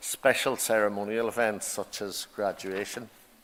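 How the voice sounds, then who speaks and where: At a moderate pace, a man talks with medium pitch. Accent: Irish. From Ireland. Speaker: university principal. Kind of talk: ceremonial speech. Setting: graduation ceremony hall. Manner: formal.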